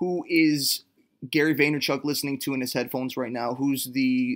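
Speaking with a Canadian accent, a man uses a plain, everyday voice at medium pitch, moderate pace and fairly even intonation on a very clean recording with a silent background. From Canada. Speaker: songwriter. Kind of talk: interview.

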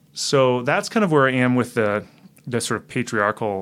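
A man with a normal speaking voice talks at a medium pitch and moderate pace, using ordinary pitch variation. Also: very clean recording, silent background. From Canada. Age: 40s. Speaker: author. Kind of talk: casual chat.

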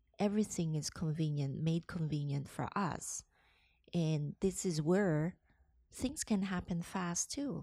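A woman with a very deep, low pitch and a dark, mellow tone speaks at a fairly slow pace with lively intonation on a very clean recording with a silent background. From Hong Kong and the Philippines. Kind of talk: interview conversation. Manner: halting.

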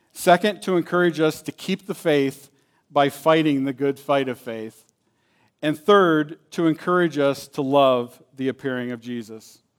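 A man with an unremarkable speaking voice, fairly high pitch and ordinary pitch variation, at a fairly slow pace, on a very clean recording with a silent background. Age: 50s. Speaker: guest preacher. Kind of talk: sermon.

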